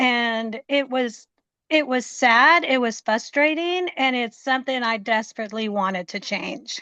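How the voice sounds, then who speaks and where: A woman talks fairly slowly with a high pitch and ordinary pitch variation. Her tone is bright and sharp, and the background is quiet. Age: 60s. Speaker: fitness client. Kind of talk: interview.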